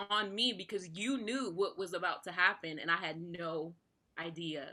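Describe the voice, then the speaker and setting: Her tone is bright and sharp. The woman speaks at a medium pitch. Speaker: singer-songwriter. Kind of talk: casual interview.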